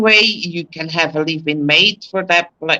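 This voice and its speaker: The speaker talks at a moderate pace. There is a non-native accent. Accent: foreign. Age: 60s. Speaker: expat. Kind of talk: casual chat.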